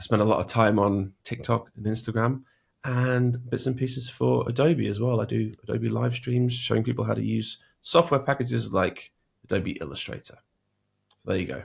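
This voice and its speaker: In a British accent, the words come at a moderate pace. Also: man. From Britain. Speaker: logo designer and design educator. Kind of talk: interview. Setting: home studio.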